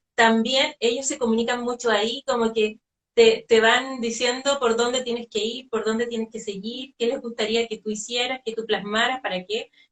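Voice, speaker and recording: Fairly high in pitch, a woman speaks in an unremarkable speaking voice. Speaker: spiritual medium. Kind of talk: interview conversation.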